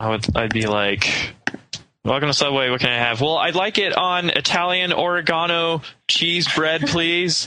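Using an ordinary speaking voice, a man speaks at a moderate pace with fairly high pitch and lively intonation. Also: very even loudness. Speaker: podcast co-host. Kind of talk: casual chat.

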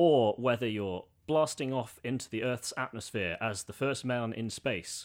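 A man with an ordinary speaking voice talks at a fairly slow pace and medium pitch, with ordinary pitch variation and hardly any pauses, in a very clean recording with a silent background. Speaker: guest, former teacher in Russia. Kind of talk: casual chat.

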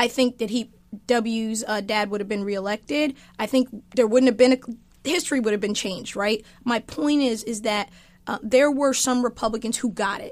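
At a moderate pace, a woman uses an unremarkable speaking voice, fairly high in pitch with ordinary pitch variation, on a very clean recording with a silent background. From eastern US (Army family, moved around). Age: 50s. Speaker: author and political commentator. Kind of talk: interview conversation.

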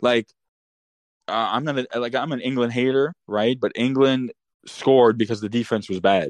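A man with an unremarkable speaking voice talks at a moderate pace in a medium pitch with ordinary pitch variation, recorded dry and close with no echo. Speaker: caller, football fan. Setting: live call-in.

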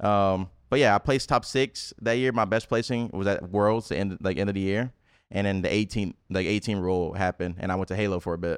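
A man with a normal speaking voice, pitched fairly low and moving at a fairly quick pace with ordinary pitch variation. The sound is dry and close with no echo, over a quiet background. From US South, Memphis, Tennessee. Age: 20s. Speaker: esports pro player. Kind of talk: casual chat.

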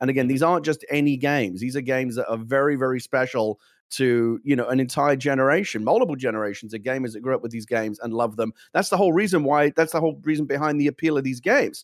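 With a British accent and ordinary pitch variation, the speaker goes at a very fast pace on a very clean recording with a silent background. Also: man, medium pitch for a man. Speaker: gaming show co-host. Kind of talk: casual chat. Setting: studio.

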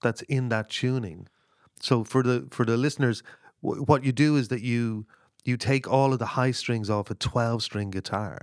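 A man's medium-pitched voice with an Irish accent. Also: very clean recording, silent background. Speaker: singer-songwriter. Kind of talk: casual chat. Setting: in a cottage by a stove. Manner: halting.

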